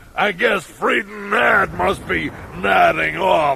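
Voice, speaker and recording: In a put-on character voice, a man speaks at a fairly slow pace. Clear background noise runs underneath. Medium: audio drama. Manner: whiny, comic.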